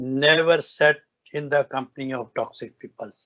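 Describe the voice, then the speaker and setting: Speaking with a North Indian accent, a man keeps a fairly high pitch and a monotone, flat intonation. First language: Hindi or Punjabi. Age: 70s. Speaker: business owner giving a success talk. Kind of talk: motivational speech. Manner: halting, with restarts.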